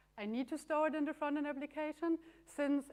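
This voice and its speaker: A woman speaks with a German accent. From Germany. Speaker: conference speaker, software developer. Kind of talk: tech conference talk.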